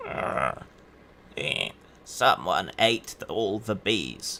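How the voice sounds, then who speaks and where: A man does a put-on character voice at a very slow pace with clear background noise behind him. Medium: actual play. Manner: halting, struggles to form words.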